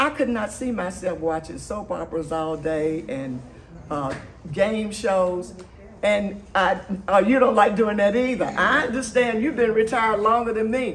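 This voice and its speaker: A somewhat breathy woman's voice at a fairly slow pace, lively in intonation, over light background noise. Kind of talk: speech to an audience. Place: hall. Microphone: camera far.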